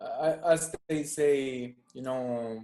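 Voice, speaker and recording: A man with an Italian accent speaks at a medium pitch with fairly even intonation. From southern Italy, Salento (Puglia). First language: Italian (Salentino dialect). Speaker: musician. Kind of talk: casual interview chat.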